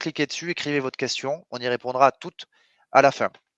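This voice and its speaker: In a Toulouse accent, a man of medium pitch speaks at a fairly quick pace, recorded with a dry, close sound, no echo and a quiet background. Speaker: webinar host, sales company representative. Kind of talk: webinar presentation. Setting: online webinar. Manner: enthusiastic, hesitant with frequent euh.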